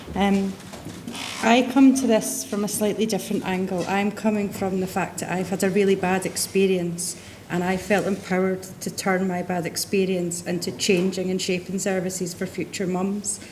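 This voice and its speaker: A woman with a Scottish accent speaks at a moderate pace and medium pitch in a monotone, flat intonation over noticeable background noise. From Scotland. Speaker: patient speaker. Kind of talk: testimony.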